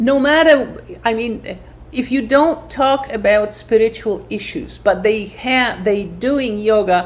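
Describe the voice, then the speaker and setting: A woman talks at a fairly slow pace over noticeable background noise. Her pitch is fairly high, and her intonation is lively. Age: 70s. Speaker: yoga therapist. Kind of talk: podcast interview.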